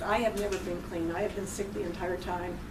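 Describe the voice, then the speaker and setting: A woman talks at a fairly quick pace and medium pitch, with audible room echo and noticeable background noise. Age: 60s. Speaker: cancer patient sharing her story. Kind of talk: talk to a college class. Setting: college classroom.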